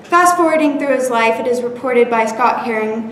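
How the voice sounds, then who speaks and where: Amid noticeable background noise, a woman with a high pitch speaks at a moderate pace with ordinary pitch variation. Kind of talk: informative presentation speech. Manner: stumbles and stutters at times.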